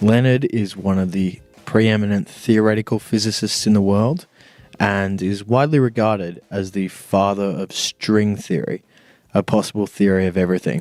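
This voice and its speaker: An ordinary speaking voice from a man, fairly low in pitch, with fairly even intonation at a moderate pace. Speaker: podcast host. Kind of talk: podcast intro.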